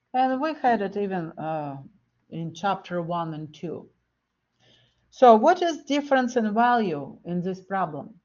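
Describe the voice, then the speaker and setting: With audible room echo, the voice moves at a fairly slow pace through very wide pitch swings and big swings in loudness, with long, frequent pauses. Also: woman, medium pitch for a woman. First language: not English. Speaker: math lecturer. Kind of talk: lecture.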